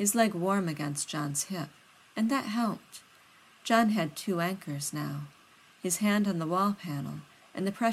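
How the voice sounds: The clip features a natural reading voice.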